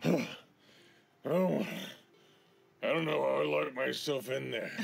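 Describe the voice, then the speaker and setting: A man performs a raspy, put-on character voice. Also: fairly slow pace. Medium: actual play. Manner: hesitant, mumbling.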